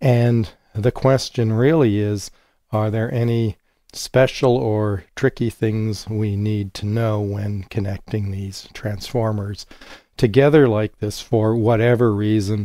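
With little pitch movement, a dark, mellow voice speaks at a slow pace on a very clean recording with a silent background. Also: man, fairly low pitch for a man.

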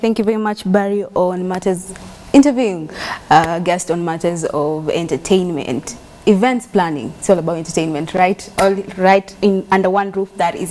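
Her pitch moves in an ordinary way. The woman talks fairly quickly. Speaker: TV show host. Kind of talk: broadcast presenter talk. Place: studio. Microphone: lapel.

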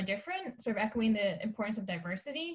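The voice is somewhat breathy and moves at a very fast pace. The background is quiet. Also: woman. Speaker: forum moderator. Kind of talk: interview. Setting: video call. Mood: warm, friendly. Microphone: video call.

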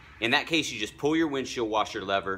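There is noticeable background noise. Over it, a man speaks at a very fast pace. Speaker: vlogger giving driving tips. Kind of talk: casual product tutorial. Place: street. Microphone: phone near.

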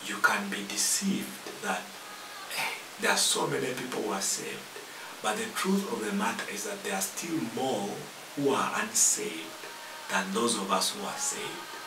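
The voice is whispering. Long pauses come often. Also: man, moderate pace. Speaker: preacher hosting a TV ministry program. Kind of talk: sermon. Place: studio.

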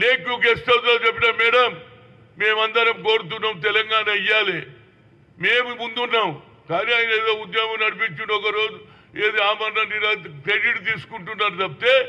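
A man speaks in a Telangana accent at a high pitch. His intonation is fairly even and his loudness very even. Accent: Telangana Telugu. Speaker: politician. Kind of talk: political statement to the press.

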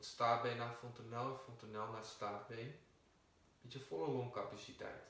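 Soft-spoken and calm, a man uses a soothing tone at a medium pitch with fairly even intonation. Audible room echo surrounds his voice. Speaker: yoga teacher. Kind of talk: guided meditation. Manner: slow, calm, soothing; soft-spoken, measured. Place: empty room. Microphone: camera far.

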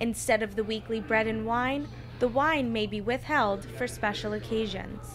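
Music sits in the background. The woman talks at a moderate pace. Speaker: news reporter. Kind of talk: news reading, scripted TV-style report voiceover, polished and even. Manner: formal, measured, steady broadcast delivery.

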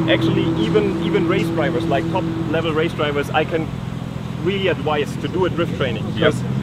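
A man at a moderate pace, with loud background noise and a dry sound with no echo. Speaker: drift instructor. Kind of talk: interview answer. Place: open country.

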